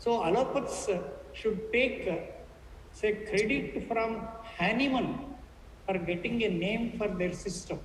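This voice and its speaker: A fairly high-pitched woman's voice at a fairly slow pace, with ordinary pitch variation, long, frequent pauses, and audible room echo. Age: 70s. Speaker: panel speaker on health. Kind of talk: panel discussion talk. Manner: halting, with fillers and repetitions.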